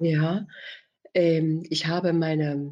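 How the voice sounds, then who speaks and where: Her pitch sits very deep and low for a woman. The woman's voice is somewhat breathy. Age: 50s. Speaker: family doctor. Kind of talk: interview.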